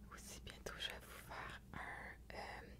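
Whispering comes from a woman. Her pace is fairly slow. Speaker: ASMR creator. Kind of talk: ASMR video. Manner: soft-spoken. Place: home room. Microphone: studio mic.

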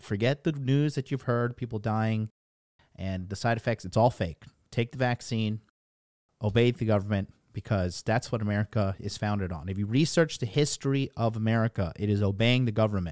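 A man talks at a fairly quick pace with ordinary pitch variation. The background is quiet, and the sound is dry with no echo. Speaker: livestream commentator. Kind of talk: commentary. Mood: sarcastic. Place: home room. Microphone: studio mic.

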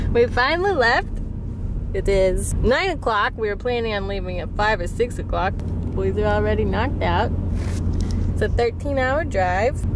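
Long, frequent pauses over loud background noise. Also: dry sound with no echo. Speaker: vlogger on road trip. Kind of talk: casual vlog chat. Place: car.

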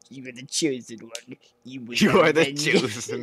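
Putting on a character voice, a man talks at a moderate pace and medium pitch, his loudness swinging widely.

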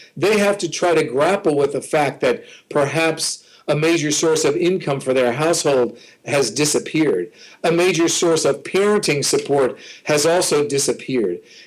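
Against a quiet background, a man speaks at a moderate pace with ordinary pitch variation and very even loudness. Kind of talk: interview answer. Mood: earnest, serious. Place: home room. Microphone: webcam.

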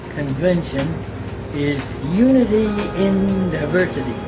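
A man speaks at a very slow pace. Clear music plays in the background. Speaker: Jesuit priest. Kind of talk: invitation message to alumni. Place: home room.

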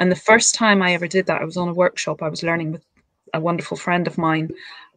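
Against a quiet background with a dry sound and no echo, a woman talks at a fairly low pitch with fairly even intonation. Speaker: wellbeing group host. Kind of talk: interview. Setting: video call. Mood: warm, reflective. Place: home room. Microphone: video call.

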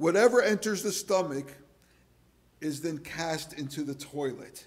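A man talks at a fairly slow pace. His pitch is fairly high, with ordinary pitch variation.

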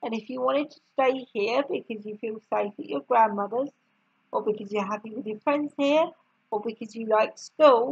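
The pitch moves in an ordinary way during this plain reading aloud. Nothing intrudes from the quiet background.

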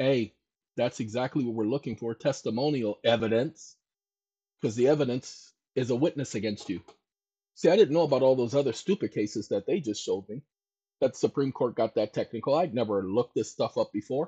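A man's somewhat breathy, dark, mellow voice at medium pitch, fairly quick in pace with ordinary pitch variation, in a dry, close sound with no echo. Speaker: YouTube channel host. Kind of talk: casual monologue on legal theory.

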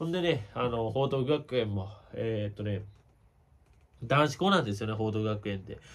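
A man with a Kansai accent at a moderate pace, with ordinary pitch variation and long, frequent pauses. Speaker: baseball YouTuber. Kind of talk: casual commentary monologue. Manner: casual, chatty. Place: home room. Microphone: phone near.

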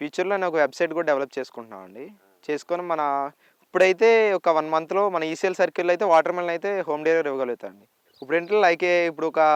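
Heard in a dry, close recording with no echo, a man speaks at a high pitch with ordinary pitch variation and big swings in loudness. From Andhra Pradesh, Vizianagaram district. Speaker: organic farmer. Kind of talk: interview. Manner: polite, English-mixed Telugu.

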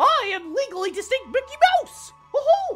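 A squeaky, playful, put-on character voice at an extremely high pitch, with faint music in the background. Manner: cartoony, playful.

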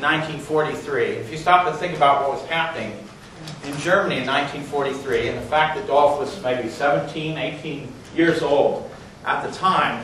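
With audible room echo and light background noise, a man talks at a fairly quick pace, his pitch fairly high and his intonation fairly even. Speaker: geology professor. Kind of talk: speaker introduction at a lecture. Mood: warm, admiring. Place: classroom. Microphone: camera far.

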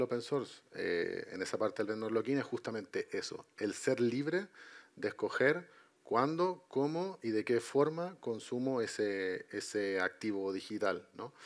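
A man speaks fairly slowly with a Chilean accent and lively intonation. The background is quiet. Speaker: IT consultant and entrepreneur; panelist. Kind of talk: panel discussion. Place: stage.

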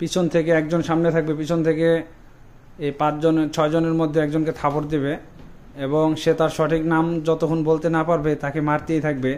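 The delivery is monotone with flat intonation and very even loudness throughout. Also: man. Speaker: game host filming. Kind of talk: casual vlog chat. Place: home room. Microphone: phone near.

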